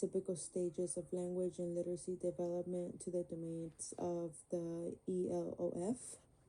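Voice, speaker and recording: Her voice is fairly low-pitched for a woman, with a dark, mellow tone. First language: Spanish. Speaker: student. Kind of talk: class presentation. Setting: screen recording. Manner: halting, many fillers.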